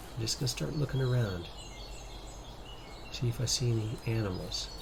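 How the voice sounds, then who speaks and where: A man talks at a medium pitch with very even loudness. Noticeable background noise runs underneath. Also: ordinary pitch variation, fairly quick pace. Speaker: gaming youtuber. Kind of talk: let's play commentary. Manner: whispering.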